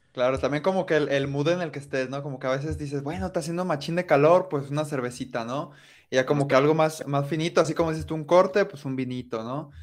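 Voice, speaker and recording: A man with a Mexican accent talks at a very fast pace in a fairly high voice with ordinary pitch variation. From Mexico, coastal region. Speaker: podcast host. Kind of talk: casual interview.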